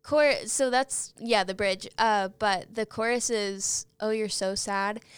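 In an American accent, a woman talks at a very slow pace with a fairly high pitch. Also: very clean recording, silent background. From Oklahoma, Guthrie. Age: 20s. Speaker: singer-songwriter. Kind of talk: casual interview chat.

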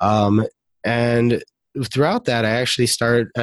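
In a very clean recording with a silent background and a dry, close sound free of echo, a man speaks with fairly even intonation. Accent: American. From Detroit, Michigan, US. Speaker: marketing entrepreneur. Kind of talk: casual chat.

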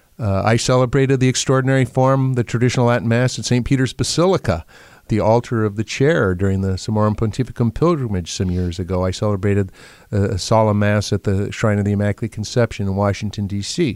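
Man with an American accent, fairly low pitch, ordinary pitch variation and a very fast pace. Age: 60s. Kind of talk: interview. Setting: studio.

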